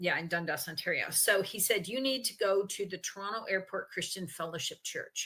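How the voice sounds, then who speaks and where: At a fairly quick pace, a woman talks with medium pitch. Her tone is bright, sharp and animated. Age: 60s. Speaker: interviewee sharing health story. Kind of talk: conversational interview. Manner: animated storytelling.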